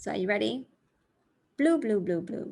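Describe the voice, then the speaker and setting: Against a quiet background, a woman speaks fairly slowly at medium pitch, somewhat breathy, with lively intonation. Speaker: English teacher. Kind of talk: language lesson to camera. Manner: clear, careful enunciation.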